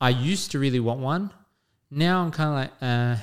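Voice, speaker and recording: Someone talks at a fairly quick pace with an Australian accent. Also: man, very clean recording, silent background. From Western Sydney, Australia. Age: 30s. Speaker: podcast co-host. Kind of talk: casual chat.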